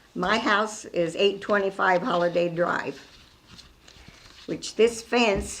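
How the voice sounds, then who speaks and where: Against noticeable background noise, a woman talks at a very slow pace with a medium pitch and fairly even intonation. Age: 90s. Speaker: resident commenting. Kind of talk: public comment.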